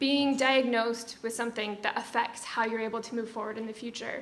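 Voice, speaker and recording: A woman speaks with an American accent. Her pace is fairly quick. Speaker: event host, festival committee member. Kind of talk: event introduction speech.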